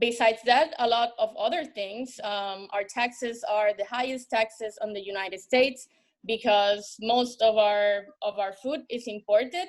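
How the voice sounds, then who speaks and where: Speaking in a Spanish accent, a woman uses a fairly high pitch with ordinary pitch variation. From Puerto Rico, San Juan. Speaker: bar manager. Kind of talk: panel discussion. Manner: halting, many fillers and repetitions.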